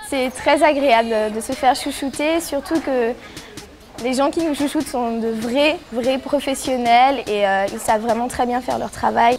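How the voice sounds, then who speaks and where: With music in the background, a woman speaks at a fairly slow pace in a high pitch with ordinary pitch variation. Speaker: TV voice-over commentator. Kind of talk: reality TV voice-over narration.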